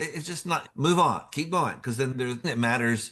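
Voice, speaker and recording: A man's medium-pitched voice with a bright, sharp tone and an American accent, over a quiet background. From Central Texas. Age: 70s. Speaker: poet. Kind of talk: podcast interview.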